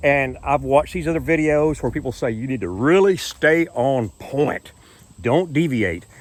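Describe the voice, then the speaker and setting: A man speaks in a normal speaking voice, fairly high in pitch, at a moderate pace with lively intonation. The recording is very clean, with a silent background. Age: 60s. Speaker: YouTuber. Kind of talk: casual vlog monologue. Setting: outdoors on a boardwalk.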